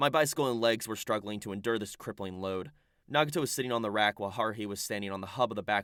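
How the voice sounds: This is a natural reading voice. Its pitch varies an ordinary amount.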